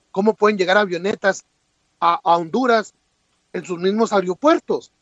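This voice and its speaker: A high male voice at a fairly quick pace, with ordinary pitch variation. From Mexico (Chihuahua). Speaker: immigration commentator. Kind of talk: interview.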